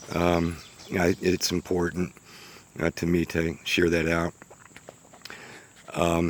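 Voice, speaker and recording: A man with an American accent speaks in a very deep, low voice. His pace is fairly slow. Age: 60s. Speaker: small business owner. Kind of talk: casual unscripted vlog narration. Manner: halting, many fillers.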